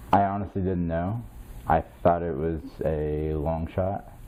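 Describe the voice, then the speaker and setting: With pitch that rises and falls in an ordinary way, the words come out at a fairly slow pace. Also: man. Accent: Midwestern American. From Indiana, US Midwest. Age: 30s. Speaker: military veteran. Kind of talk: interview. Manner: halting, many fillers.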